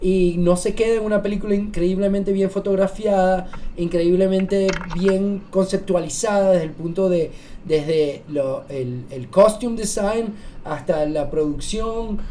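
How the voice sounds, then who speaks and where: Over noticeable background noise and audible room echo, a woman talks at a fairly slow pace with medium pitch and ordinary pitch variation. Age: 40s. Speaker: podcast co-host, film reviewer. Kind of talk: casual chat. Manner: animated.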